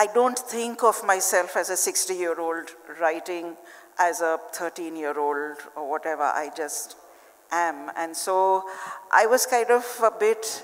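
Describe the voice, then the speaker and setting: The clip features a normal speaking voice moving at a fairly slow pace. Pitch variation is ordinary. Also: woman, fairly low pitch for a woman. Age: 60s. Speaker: children's author. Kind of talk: panel discussion. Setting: stage with audience.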